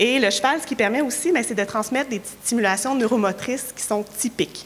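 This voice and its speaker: With a Quebec accent, a woman talks at a fairly quick pace with ordinary pitch variation over noticeable background noise. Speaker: occupational therapist and researcher. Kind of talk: conference talk. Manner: hesitant, many fillers.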